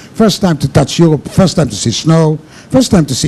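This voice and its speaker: Over noticeable background noise, a man speaks in a high pitch. His pace is fairly quick. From Israel. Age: 60s. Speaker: cruise ship cocktail pianist. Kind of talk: interview.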